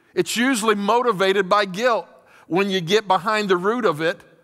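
Over a quiet background, a man projects a raised voice with a bright, sharp tone, ordinary pitch variation and a moderate pace. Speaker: pastor. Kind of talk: sermon. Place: stage. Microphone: headset.

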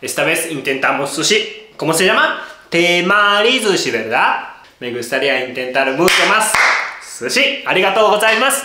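Over light background noise and audible room echo, a man with a high pitch speaks at a fairly slow pace, his pitch swinging very widely. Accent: Japanese. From Japan. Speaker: cooking show host. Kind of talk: cooking tutorial talk to camera. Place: kitchen.

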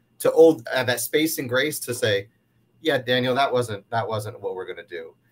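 Speaking at a moderate pace, a man talks with an American accent. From US Northeast (western New York). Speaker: university diversity director; panelist. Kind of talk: panel discussion. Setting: video call. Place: office.

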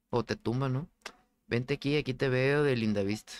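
This man speaks with a Mexican accent at a medium pitch and a moderate pace. His intonation stays fairly even, and the sound is dry and close with no echo. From Mexico. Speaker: gaming streamer. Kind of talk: casual chat. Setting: live stream. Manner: casual, slangy.

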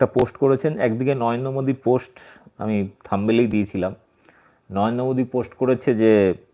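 A man's dark, mellow voice sits at a medium pitch, its intonation fairly even. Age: 40s. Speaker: political commentator. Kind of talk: political commentary vlog. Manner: halting.

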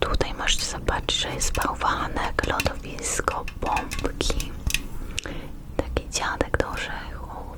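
Whispered words come at a very slow pace, with noticeable background noise around them. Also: woman. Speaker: ASMR creator guest-hosting another channel. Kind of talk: ASMR roleplay showing items, whispered Polish. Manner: soft, whispered, slow.

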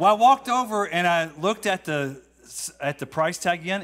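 Over light background noise, a man speaks at a moderate pace with lively intonation and a relaxed tone. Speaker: congregation member giving a testimony. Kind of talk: testimony, casual storytelling. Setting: church. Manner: relaxed, humorous. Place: church. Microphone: handheld.

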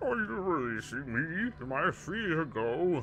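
A man performs a put-on character voice with clear background noise behind him. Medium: game stream. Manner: pleading, panicky.

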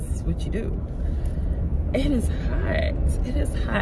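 A woman speaks over loud background noise. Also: dry sound with no echo. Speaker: vlogger. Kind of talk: casual vlog chat. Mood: upbeat, reflective. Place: car. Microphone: phone near.

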